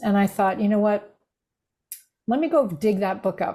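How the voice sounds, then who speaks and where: A woman with an American accent, a medium pitch, a dark, mellow tone and a somewhat breathy sound. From United States. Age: 60s. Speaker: grief recovery specialist and former minister. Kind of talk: podcast interview.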